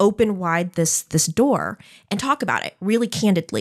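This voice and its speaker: Against a quiet background, a woman talks at a fairly slow pace. Her pitch varies in an ordinary way. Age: 30s. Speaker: nonprofit clinic CEO and podcast host. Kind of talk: casual interview. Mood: earnest, candid. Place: studio. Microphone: studio mic.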